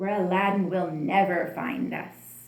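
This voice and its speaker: A female-sounding, put-on character voice sits at a middle pitch and moves at a fairly slow pace. There is a slight echo. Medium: read story. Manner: sly, scheming.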